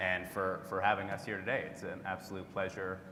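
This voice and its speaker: With a Canadian accent, a man speaks at a moderate pace and a fairly low pitch, with audible room echo. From Canada. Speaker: tech industry executive. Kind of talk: conference presentation.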